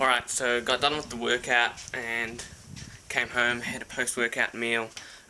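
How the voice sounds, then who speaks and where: A man's medium-pitched voice at a fairly slow pace. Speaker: fitness vlogger. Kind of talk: casual vlog.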